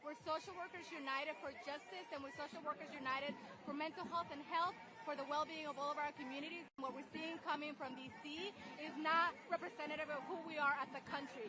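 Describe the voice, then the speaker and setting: Over crowd noise in the background, a woman talks very fast in a raised, projected, high-pitched voice with ordinary pitch variation. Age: 40s. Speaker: protester, social worker. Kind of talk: street interview. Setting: outdoors at a protest march.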